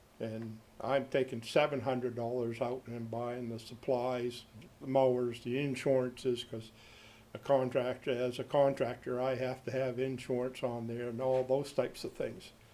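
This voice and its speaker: Against noticeable background noise, a man talks in a flat monotone at a moderate pace and medium pitch. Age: 70s. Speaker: cemetery caretaker. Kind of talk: public comment at council meeting. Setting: city council meeting.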